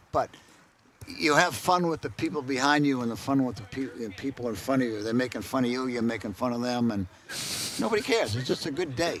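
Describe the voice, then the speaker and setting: A man with a medium pitch talks at a very fast pace. Noticeable background noise is present. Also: ordinary pitch variation. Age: 80s+. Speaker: college athletics supporter, golfer. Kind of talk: casual interview. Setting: outdoors at golf event.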